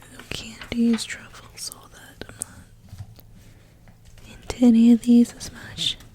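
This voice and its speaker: A woman whispers at a fairly slow pace, with long, frequent pauses. Her loudness swings a lot, and background noise is noticeable. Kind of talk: ASMR magazine flip-through, soft spoken. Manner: whispered, soft-spoken.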